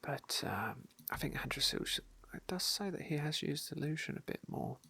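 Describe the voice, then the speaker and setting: A woman whispering at a moderate pace. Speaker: ASMR gamer / roleplay streamer. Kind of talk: gameplay commentary, casual talk. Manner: soft, whispery.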